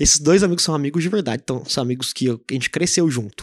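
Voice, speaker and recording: Dry and close with no echo, this very clean recording over a silent background captures a man with a fairly high pitch. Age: 20s. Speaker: podcast host. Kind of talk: solo podcast monologue. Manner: casual, joking.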